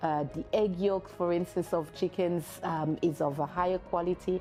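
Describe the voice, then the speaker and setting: Music plays behind a woman with a very deep, low pitch. She speaks at a fairly slow pace with fairly even intonation. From Burundi. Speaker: social entrepreneur. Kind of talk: interview answer.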